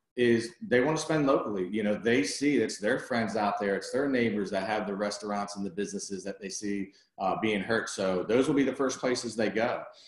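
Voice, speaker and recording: A man talks at a fairly quick pace with hardly any pauses, against noticeable background noise. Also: medium pitch for a man, ordinary pitch variation. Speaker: commercial real estate advisor. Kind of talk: webinar presentation. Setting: video conference. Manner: fast.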